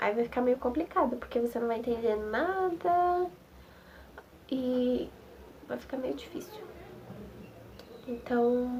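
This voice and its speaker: A woman with a high pitch mumbles at a very slow pace, her intonation lively and her pauses long and frequent. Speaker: nursing technician student. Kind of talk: casual vlog talk to camera. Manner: mumbled, slurred.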